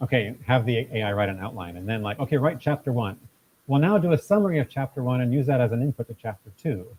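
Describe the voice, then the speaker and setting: Speaking at a very fast pace, a man has medium pitch and a somewhat breathy voice. His intonation is lively. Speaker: tech meetup presenter. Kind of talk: live tech talk with audience Q&A. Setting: event space with live audience. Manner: conversational, with repetitions.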